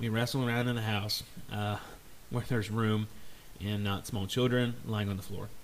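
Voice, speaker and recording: Audible room echo surrounds a man speaking in a flat monotone, broken by long, frequent pauses. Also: fairly low pitch for a man, moderate pace. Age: 30s. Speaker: podcast host. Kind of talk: casual solo podcast monologue.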